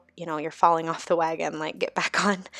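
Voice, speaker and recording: A woman's very deep, low voice with vocal fry and monotone, flat intonation. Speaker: bullet journal youtuber. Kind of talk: voice-over tutorial. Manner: casual, with fillers.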